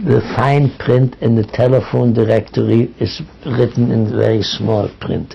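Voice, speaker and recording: A man's fairly slow talk at very even loudness, with noticeable background noise. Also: medium pitch for a man, fairly even intonation. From East Prussia, Germany. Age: 90s. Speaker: Holocaust survivor. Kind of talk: oral history interview.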